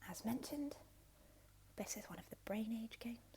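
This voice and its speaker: A woman speaks softly in a dark, mellow tone. Her voice has vocal fry. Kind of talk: ASMR roleplay as a retro game store clerk. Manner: soft-spoken, relaxing.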